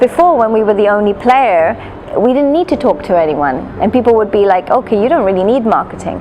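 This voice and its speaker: A woman's fairly high voice in a Gujarati accent, fairly quick, with very wide pitch swings and very even loudness over noticeable background noise. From London, England. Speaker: hospital marketing director. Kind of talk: interview.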